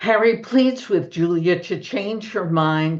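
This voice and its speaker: A woman with a Brooklyn accent, her pitch fairly low, at a very slow pace. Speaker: book discussion presenter. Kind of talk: literary talk with slides.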